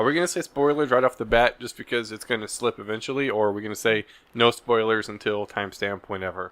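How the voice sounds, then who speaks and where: Mumbling at a very fast pace with hardly any pauses, the speaker uses ordinary pitch variation. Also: man, medium pitch for a man, very clean recording, silent background. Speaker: podcast co-host. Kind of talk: casual chat.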